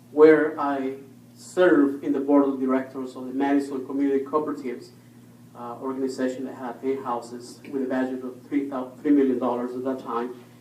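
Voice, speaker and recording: A man with a Spanish accent speaks at a fairly quick pace in a medium pitch, his intonation flat and monotone while his loudness swings widely. Noticeable background noise and audible room echo fill the recording. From Ecuador. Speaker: school board candidate. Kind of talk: candidate forum speech. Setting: public library meeting room.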